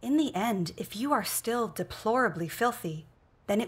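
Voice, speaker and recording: Somewhat breathy, a woman talks at a moderate pace with lively intonation. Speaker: reader in a religious film. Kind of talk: scripture reading aloud. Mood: earnest, solemn. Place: home room.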